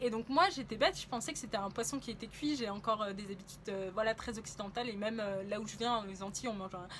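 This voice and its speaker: Through noticeable background noise, a woman with a fairly high pitch talks at a very fast pace with ordinary pitch variation. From France. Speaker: travel vlogger. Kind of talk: casual travel vlog monologue. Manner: hesitant, many fillers.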